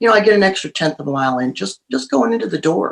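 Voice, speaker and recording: Her intonation lively, a woman speaks in a plain, everyday voice at fairly low pitch. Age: 60s. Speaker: author and show host. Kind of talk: interview.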